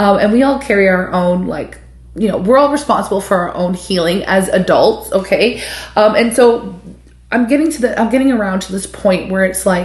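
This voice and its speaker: A woman's medium-pitched voice in an animated tone, moderate in pace, with ordinary pitch variation and audible room echo. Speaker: tarot reader. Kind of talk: tarot reading monologue.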